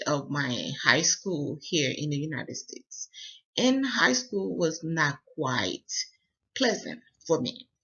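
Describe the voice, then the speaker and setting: Speaking at a very slow pace with long, frequent pauses, a man uses a West African accent and a fairly high pitch. His intonation is lively, and there is vocal fry in his voice. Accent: West African accent, still noticeable. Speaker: university student. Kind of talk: personal presentation. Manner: halting, many fillers.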